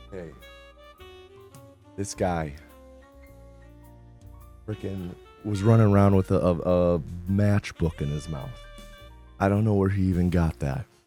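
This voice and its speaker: Music plays behind a man whose very deep, low voice shows ordinary pitch variation as he goes at a fairly slow pace, leaving long, frequent pauses. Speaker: streamer / comedian hosting a live stream. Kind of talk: casual talk to camera, livestream commentary.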